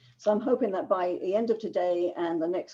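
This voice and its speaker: A woman in a London accent, fairly low in pitch, with a dark, mellow tone at a fairly quick pace. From England, London. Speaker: business writing consultant. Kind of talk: webinar lecture. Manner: fast.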